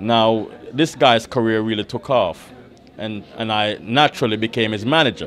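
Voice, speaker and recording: This man talks at a moderate pace in a Jamaican accent, using a medium pitch and ordinary pitch variation. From Jamaica, Kingston. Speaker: record producer. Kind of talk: interview.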